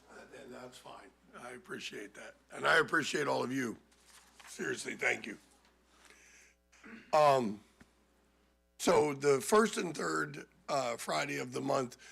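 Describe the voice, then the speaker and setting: A man at a medium pitch, bright and sharp in tone with vocal fry, fairly slow with long, frequent pauses, very wide pitch swings and big swings in loudness. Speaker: pub owner. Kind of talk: public hearing remarks. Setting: town council meeting.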